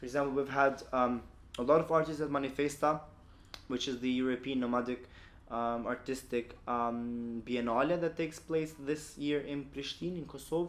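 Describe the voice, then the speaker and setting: This man speaks with an Albanian accent at a moderate pace. His pitch is fairly high, and his intonation stays fairly even. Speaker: LGBTQ activist. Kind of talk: podcast interview. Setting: office.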